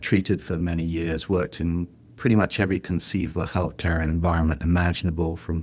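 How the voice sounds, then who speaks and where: With an English accent, a man talks at a fairly quick pace in a very deep, low voice, his intonation flat and monotone. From England. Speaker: healthcare executive, former physical therapist. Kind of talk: podcast interview. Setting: video call.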